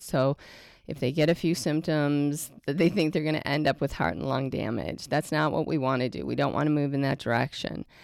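With vocal fry and a dry, close sound free of echo, a woman speaks at a moderate pace. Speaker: homeschooling mom podcast host. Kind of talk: casual conversation, personal storytelling. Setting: kitchen table, recorded at home.

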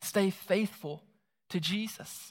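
A man's high-pitched voice with a Southern US accent. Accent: Southern US (Georgia). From US South, South Georgia (Moultrie). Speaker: pastor. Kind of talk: sermon. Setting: church.

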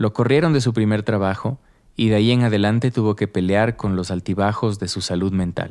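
With an ordinary speaking voice, a man talks at a fairly quick pace and a fairly low pitch, using ordinary pitch variation. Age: 30s. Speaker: podcast host and narrator. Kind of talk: scripted narration.

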